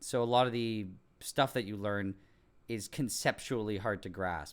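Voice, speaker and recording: A man talks at a fairly slow pace with a Montreal accent. The recording is very clean, with a silent background. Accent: English Canadian (Montreal). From Quebec, English-speaking Montreal. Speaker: science YouTuber. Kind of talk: live stream Q&A, casual chat. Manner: casual, many fillers and restarts.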